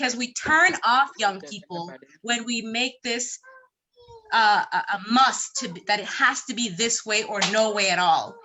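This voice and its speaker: Lively intonation and a fairly slow pace mark an ordinary speaking voice. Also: woman, fairly high pitch for a woman. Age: young. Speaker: conference participant. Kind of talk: panel discussion.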